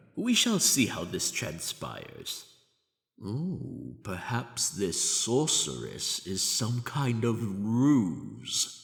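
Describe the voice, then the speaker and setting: A man does a put-on character voice at a medium pitch. He speaks at a very slow pace. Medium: audio drama. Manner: stiffly formal, trying to sound noble.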